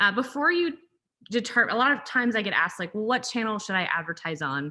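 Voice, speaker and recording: A woman's fairly high voice with very wide pitch swings, a bright, sharp tone and vocal fry, at a fairly quick pace against a quiet background. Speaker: brand growth strategist, webinar presenter. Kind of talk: webinar presentation. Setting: zoom webinar. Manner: fast.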